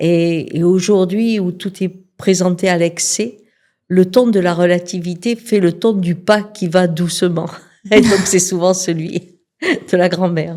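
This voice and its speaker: A woman talks at a very slow pace in a dark, mellow tone. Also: medium pitch for a woman, fairly even intonation. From southern France, Cévennes near Alès. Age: 60s. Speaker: shaman and sex therapist. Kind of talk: interview.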